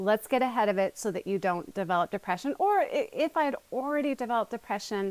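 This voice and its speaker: A woman speaks very fast at a fairly high pitch, with hardly any pauses. Her tone is animated and her intonation lively, in a dry, close sound with no echo. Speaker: therapist and author. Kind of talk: interview testimony.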